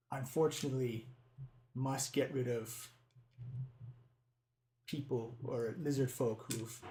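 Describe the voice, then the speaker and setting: A man's put-on character voice, fairly slow, broken by long, frequent pauses. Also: medium pitch for a man. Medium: actual play. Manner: broken English, clipped short phrases.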